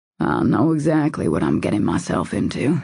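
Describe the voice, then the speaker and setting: A raspy, low-pitched put-on character voice with very wide pitch swings, at a moderate pace. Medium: read story. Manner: calm, soft-spoken.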